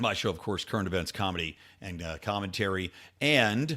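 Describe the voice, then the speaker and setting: A man's fairly low voice at a fairly quick pace on a very clean recording with a silent background. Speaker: podcast host and political commentator. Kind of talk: casual political commentary. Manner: casual, conversational with filler words.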